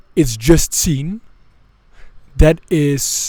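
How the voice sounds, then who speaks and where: In a somewhat breathy voice with a dark, mellow tone, a man speaks with ordinary pitch variation. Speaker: mindset coach. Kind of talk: motivational monologue. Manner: halting, many repetitions.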